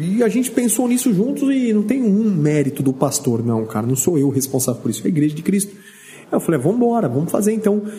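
With a high pitch and very wide pitch swings, a man talks at a very fast pace over noticeable background noise. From Brazil, Vale do Ribeira (São Paulo state). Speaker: pastor. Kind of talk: casual chat. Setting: studio. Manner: animated.

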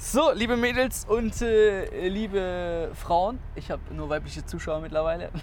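With audible room echo, a man speaks with hardly any pauses. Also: fairly slow pace. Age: 20s. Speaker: podcast host. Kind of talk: casual chat.

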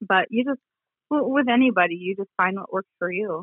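A woman with an American accent. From central Michigan, US. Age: 30s. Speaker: guest's wife. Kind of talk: casual interview. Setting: phone or remote call.

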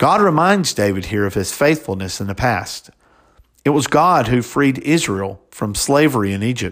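A man with an American accent speaks at a moderate pace and medium pitch, his voice swinging very widely up and down, on a very clean recording with a silent background. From US South, Alabama. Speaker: deacon. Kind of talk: sermon; testimony.

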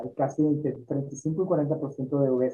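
Somewhat breathy, a man's voice carries a dark, mellow tone and fairly even intonation. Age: 60s. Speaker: health and lifestyle teacher. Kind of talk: interview. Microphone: poor internet connection.

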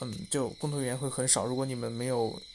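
This man talks at a fairly quick pace in a medium pitch. His intonation is fairly even. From rural China. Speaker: vlogger. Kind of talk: personal reflection monologue. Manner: halting, many fillers.

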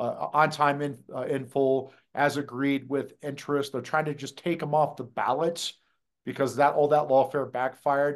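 The speaker has an American accent and a monotone, flat intonation. The pace is moderate and the background is quiet. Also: man, fairly high pitch for a man. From US Midwest, Des Moines, Iowa. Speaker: conservative legal activist. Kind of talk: political interview.

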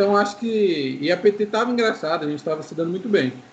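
The speech rushes by at a very fast pace with ordinary pitch variation. Noticeable background noise sits underneath. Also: man. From Brazil, Maringá, Paraná. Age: 20s. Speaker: game streamer. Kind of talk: casual chat.

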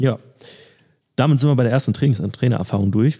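A man's voice carries a dark, mellow tone with vocal fry. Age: 20s. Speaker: athletic trainer and podcast co-host. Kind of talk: casual chat.

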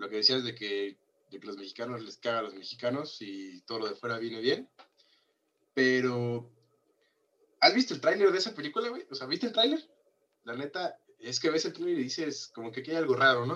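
A man's medium-pitched, bright, sharp voice at a fairly quick pace, with lively intonation, long, frequent pauses and big swings in loudness. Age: 20s. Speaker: podcast co-host. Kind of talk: casual chat.

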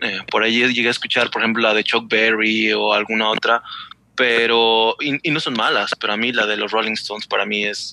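An ordinary speaking voice from a man at a fairly quick pace, the sound dry and close with no echo. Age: 40s. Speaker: novice motorcyclist. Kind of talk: casual chat.

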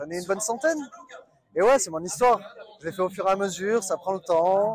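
A man with ordinary pitch variation. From southwestern France (Bordeaux). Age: 30s. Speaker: marble mason. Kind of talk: interview. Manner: halting.

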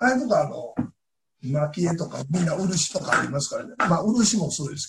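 A man with a Kansai accent talks at a fairly quick pace in a high pitch, with very wide pitch swings and big swings in loudness. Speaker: knife craftsman. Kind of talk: interview.

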